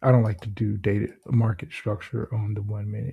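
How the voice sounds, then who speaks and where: The delivery is animated and comes at a fairly slow pace. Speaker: trader doing backtesting. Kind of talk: screen-share trading tutorial, thinking aloud. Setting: at home. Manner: casual, animated.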